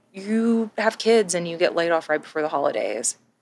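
At a moderate pace and with lively intonation, a woman talks in a plain, everyday voice, recorded in dry, close sound with no echo. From Texas. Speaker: podcast co-host. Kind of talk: casual chat.

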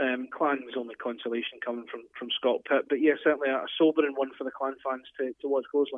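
With an ordinary speaking voice, a man of medium pitch talks at a fairly quick pace. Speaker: ice hockey analyst. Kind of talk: casual sports analysis chat.

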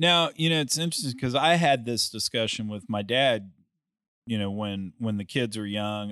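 A man with an unremarkable speaking voice talks fairly slowly at a medium pitch, the sound dry and close with no echo, over a quiet background. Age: 50s. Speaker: private equity investor and podcaster. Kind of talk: casual chat.

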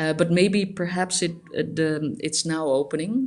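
A woman speaks with a Dutch accent. Her pace is fairly slow and her intonation fairly even. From Netherlands, Amsterdam. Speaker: graphic designer. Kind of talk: interview. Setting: remote call. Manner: halting.

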